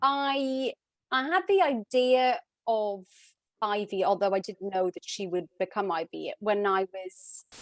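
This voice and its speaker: A woman with a Welsh accent speaks fairly slowly at a medium pitch, her intonation lively. The background is quiet and the sound dry and close, without echo. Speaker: author. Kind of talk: interview.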